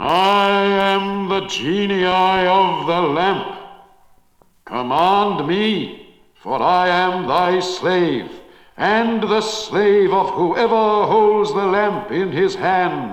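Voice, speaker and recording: Very slowly and with a slight echo, a man delivers a put-on character voice at a high pitch. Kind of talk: archaic, formal. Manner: commanding, awe-inspiring.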